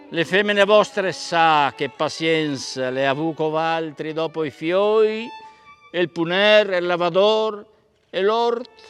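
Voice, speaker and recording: A man speaks at a very slow pace in a high voice with ordinary pitch variation while music plays in the background. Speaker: stage actor. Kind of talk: poetry reading.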